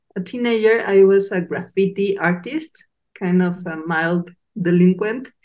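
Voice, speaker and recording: Speaking at a fairly slow pace, a woman talks with a Mexican accent. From Mexico. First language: Spanish. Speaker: podcast host. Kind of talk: casual interview chat.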